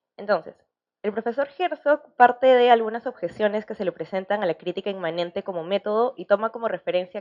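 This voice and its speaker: The woman's pitch is medium, with ordinary pitch variation. She speaks at a very fast pace. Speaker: academic panel commentator. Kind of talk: academic commentary.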